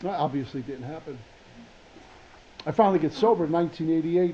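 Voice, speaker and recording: This man has a high-pitched voice with a dark, mellow tone. He speaks at a fairly quick pace. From New York City (Brooklyn). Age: 60s. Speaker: recovering alcoholic speaker. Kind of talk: recovery meeting talk.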